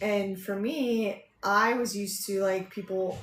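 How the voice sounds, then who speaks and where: A woman speaks at a fairly slow pace with fairly even intonation, and audible room echo can be heard. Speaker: podcast co-host. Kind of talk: casual chat. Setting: live stream. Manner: mumbling.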